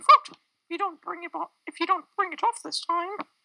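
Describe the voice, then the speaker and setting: A woman's put-on character voice, squeaky and extremely high-pitched, at a moderate pace, with lively intonation, big swings in loudness, and a dry, close sound free of echo. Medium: stage play. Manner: earnest, cautioning.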